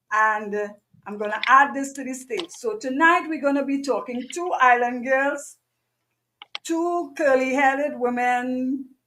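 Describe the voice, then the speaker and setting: In a raised, projected voice, a woman speaks at a fairly slow pace with a high pitch and a bright, sharp tone. Her loudness swings widely while her pitch varies in an ordinary way. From Trinidad. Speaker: business coach and show host. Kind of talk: live online show hosting. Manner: animated.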